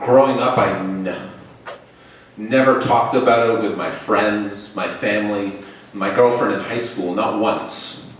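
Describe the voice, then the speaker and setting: With audible room echo, a man speaks at a fairly slow pace in a fairly low pitch and fairly even intonation. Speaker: storyteller. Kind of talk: live storytelling. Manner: halting.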